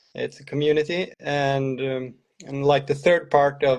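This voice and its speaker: Fairly high-pitched, a man talks with a Swedish accent. His pace is fairly slow and his intonation fairly even. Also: quiet background. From Sweden. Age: 40s. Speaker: cross-country ski coach. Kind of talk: interview. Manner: hesitant.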